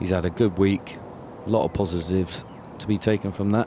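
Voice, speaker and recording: In a Bristolian accent, a man speaks at a moderate pace with a very deep, low pitch and fairly even intonation. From Bristol, England. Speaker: golf pundit. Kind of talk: live commentary.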